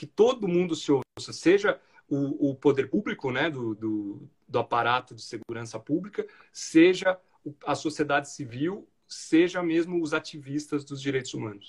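A somewhat breathy man's voice, fairly high in pitch, with lively intonation, big swings in loudness and a moderate pace. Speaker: federal judge. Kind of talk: interview conversation.

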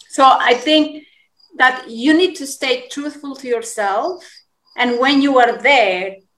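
A woman's high-pitched voice with a Spanish accent. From Colombia. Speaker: yoga teacher. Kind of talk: interview.

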